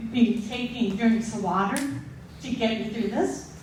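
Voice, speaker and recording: Noticeable room echo surrounds a woman as she talks. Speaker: storyteller. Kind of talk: live storytelling. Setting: stage with audience. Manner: slow; slurred, sounds drunk.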